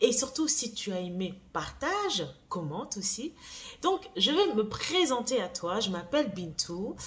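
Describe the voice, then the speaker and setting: A woman's fairly high voice, very slow, with very wide swings in pitch over noticeable background noise. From France. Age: 40s. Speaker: beauty brand founder and YouTuber. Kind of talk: vlog monologue. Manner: casual, hesitant with fillers.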